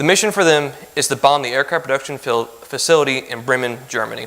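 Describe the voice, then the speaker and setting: Over noticeable background noise, a man with fairly high pitch and ordinary pitch variation speaks at a fairly quick pace. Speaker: lay speaker giving a church lesson. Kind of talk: sermon-style lesson. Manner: fast when nervous.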